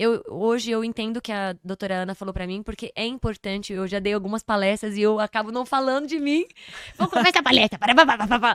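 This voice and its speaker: A woman at a fairly high pitch, talking at a very fast pace in a dry, close sound with no echo. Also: ordinary pitch variation. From São Paulo, Brazil. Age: 30s. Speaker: podcast guest, performer and speaker. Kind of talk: casual interview chat.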